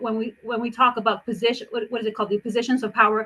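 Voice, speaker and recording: A woman speaks at a high pitch in a bright, sharp tone. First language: not English. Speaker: impact investor. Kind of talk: panel discussion. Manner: halting.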